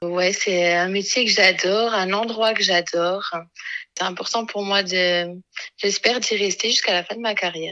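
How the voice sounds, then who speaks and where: A plain, everyday voice. It moves at a moderate pace with fairly even intonation. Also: woman. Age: 20s. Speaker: radiology technician and mother of two. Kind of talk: personal testimony.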